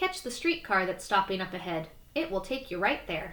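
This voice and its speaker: The speaker uses a put-on character voice. The intonation is lively. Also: woman, medium pitch for a woman, moderate pace. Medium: read story. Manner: loud, rich.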